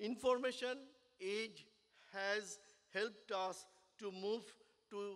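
A man's high voice with fairly even intonation against a quiet background. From India. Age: 70s. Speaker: business owner and engineer. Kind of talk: speech at a business networking event. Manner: halting. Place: hall. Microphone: podium.

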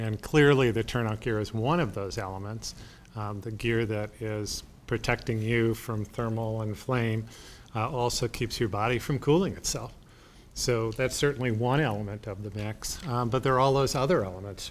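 The pace is moderate. Pitch varies in an ordinary way. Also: man. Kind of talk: interview answer. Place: meeting room.

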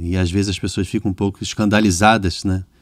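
This is an unremarkable speaking voice from a man, fairly low in pitch. He talks at a fairly quick pace with fairly even intonation. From Rio de Janeiro, Brazil. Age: 40s. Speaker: podcast host and music producer. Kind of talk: casual interview conversation.

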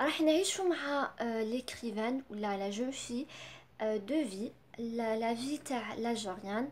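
A woman speaks at a fairly slow pace and a fairly high pitch. Her pitch variation is ordinary, with light background noise. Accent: Algerian. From Algeria. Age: 20s. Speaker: book reviewer. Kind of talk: book review. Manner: halting, many fillers. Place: home room. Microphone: phone near.

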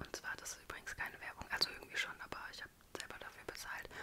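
A woman is speaking. She whispers. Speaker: ASMR creator. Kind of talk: ASMR whisper video. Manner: whispered. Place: home room. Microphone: studio mic.

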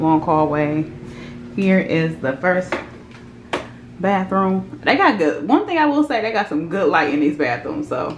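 Amid noticeable background noise, a woman with a fairly low pitch speaks at a fairly slow pace, with very wide pitch swings and long, frequent pauses. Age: 20s. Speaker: vlogger. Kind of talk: casual vlog. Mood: playful, cheeky. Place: home room. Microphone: phone near.

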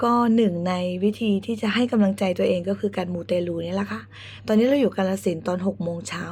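Her voice is somewhat breathy. The woman's pitch is medium, with ordinary variation. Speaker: YouTuber. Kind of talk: travel vlog.

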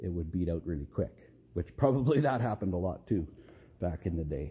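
A man with a dark, mellow tone and a somewhat breathy sound talks at a fairly quick pace. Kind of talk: casual tutorial commentary. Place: garage. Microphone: phone near.

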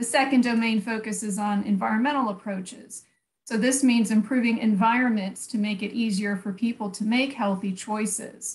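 A woman's fairly high, somewhat breathy voice with an American accent, at a moderate pace and with fairly even intonation. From USA. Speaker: public health researcher; public presenter. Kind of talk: conference presentation. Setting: online video conference. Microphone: video call.

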